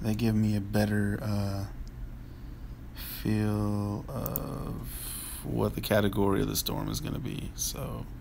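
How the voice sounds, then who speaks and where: A man speaks quietly at a very slow pace, leaving long, frequent pauses, with audible room echo around him. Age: 30s. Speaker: livestream host. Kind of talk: casual live chat. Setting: home livestream at night.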